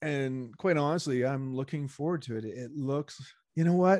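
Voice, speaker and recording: A man with a Canadian accent speaks at a moderate pace and fairly high pitch. The recording is very clean, with a silent background. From Montreal, Canada. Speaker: podcast co-host. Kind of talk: casual chat.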